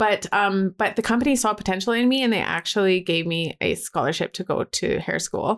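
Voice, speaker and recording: In a very clean recording with a silent background, a woman with a Canadian accent uses a normal speaking voice at a moderate pace with ordinary pitch variation. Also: dry, close sound with no echo. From Alberta, Canada. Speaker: joy coach and photographer. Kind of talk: interview.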